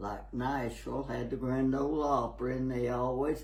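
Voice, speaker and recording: A man with a Tennessee accent talks at a fairly slow pace. There is audible room echo and noticeable background noise. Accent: Southern US (Tennessee). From US South, Tennessee. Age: 80s+. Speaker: elderly local resident. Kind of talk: interview. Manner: halting.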